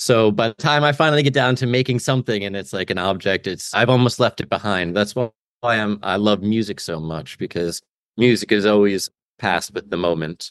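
With an American accent and an ordinary speaking voice, a man talks at a fairly quick pace in a fairly low pitch with ordinary variation. The sound is dry and close, with no echo and a quiet background. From Albany, New York. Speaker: makerspace co-founder. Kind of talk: interview.

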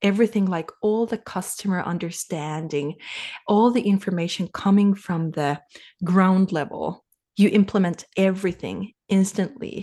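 A woman with a Finnish accent, dark and mellow in tone, medium in pitch, at a moderate pace with ordinary pitch variation. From Finland. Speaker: sales coach and business advisor. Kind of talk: casual interview.

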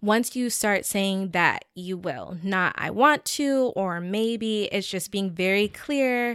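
The voice has an American accent and moves at a very slow pace with ordinary pitch variation. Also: woman. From US South, Georgia. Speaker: web series creator. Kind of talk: casual chat.

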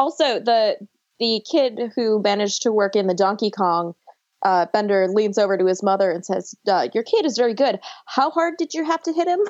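A woman with an American accent talks at a moderate pace and fairly high pitch, using lively intonation and very even loudness in a plain, everyday voice. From US Northeast (New York, Buffalo). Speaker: podcast host (guest). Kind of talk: casual chat.

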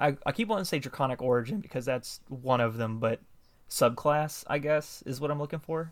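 At a fairly quick pace, a man with an American accent talks in a fairly high pitch with ordinary pitch variation. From US South. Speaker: podcast host interviewer. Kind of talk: casual interview chat.

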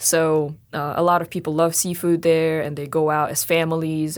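The speaker has a Russian accent and a fairly quick pace. The recording is very clean, with a silent background. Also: woman. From Russia, Sakhalin island. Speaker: graduate student. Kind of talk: interview.

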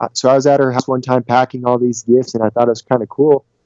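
A man with an American accent talks at medium pitch, with a dry, close sound with no echo and a quiet background. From Colorado. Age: 30s. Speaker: small business owner. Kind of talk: interview. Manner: halting.

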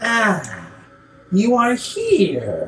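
A put-on character voice at a fairly high pitch. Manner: hungry.

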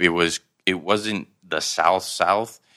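Against a quiet background, a man with a fairly low pitch and a bright, sharp tone speaks very slowly, with ordinary pitch variation. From southern Thailand. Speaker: professional basketball player. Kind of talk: casual interview chat.

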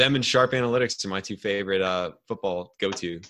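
On a very clean recording with a silent background, a man speaks in a fairly low pitch with a bright, sharp tone and ordinary pitch variation. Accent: Ohio. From US Midwest, outside Cleveland, Ohio. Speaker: hockey analytics podcaster. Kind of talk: casual chat.

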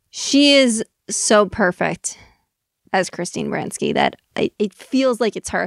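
A very clean recording with a silent background, dry and close with no echo. The voice has vocal fry, ordinary pitch variation and a fairly slow pace. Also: woman, fairly high pitch for a woman. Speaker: podcast co-host. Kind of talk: casual chat.

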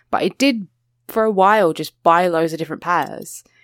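A British accent with lively intonation at a moderate pace, in a dry, close sound with no echo on a very clean recording with a silent background. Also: woman. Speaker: podcast co-host guest. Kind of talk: casual chat.

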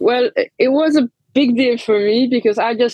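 A woman speaks with a Hungarian accent and ordinary pitch variation. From Transylvania, Hungarian-speaking region of Romania. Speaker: bar manager, bartender. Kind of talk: interview. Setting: remote call.

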